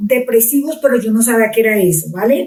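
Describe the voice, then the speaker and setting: This woman's voice is high-pitched with a dark, mellow tone and ordinary pitch variation. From Colombia, Pitalito, Huila. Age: middle-aged. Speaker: pastor. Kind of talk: testimony.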